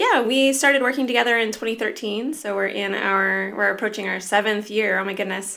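This woman has a plain, everyday voice with an American accent. Her pitch is fairly high, her pitch variation ordinary, and her pace fairly quick. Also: hardly any pauses. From Southern California. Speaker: indie game studio head and game designer. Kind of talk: casual interview.

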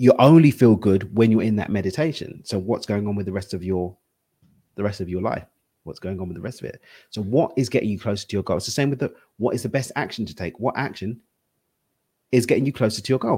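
A very fast man with an East London accent, fairly low in pitch, ordinary pitch variation, on a very clean recording with a silent background. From East London, England. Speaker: spiritual and wealth coach. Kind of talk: interview conversation.

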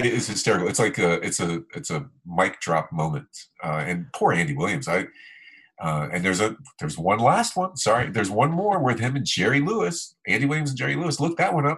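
A man with an American accent talks at a fairly quick pace with vocal fry, his medium pitch swinging very widely. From South Florida. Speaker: podcast host, journalist. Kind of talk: casual chat. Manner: halting, many fillers.

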